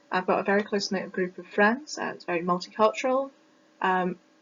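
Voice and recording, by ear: A woman in a British accent speaks at a fairly quick pace and a medium pitch, with ordinary pitch variation. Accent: British, Received Pronunciation.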